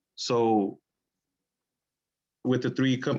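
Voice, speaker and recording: In a medium pitch, a man speaks with monotone, flat intonation. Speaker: pool maintenance worker. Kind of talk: public meeting presentation. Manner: halting.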